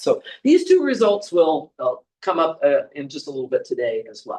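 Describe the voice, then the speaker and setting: A man at a moderate pace. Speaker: math professor. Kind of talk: lecture. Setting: classroom. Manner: animated.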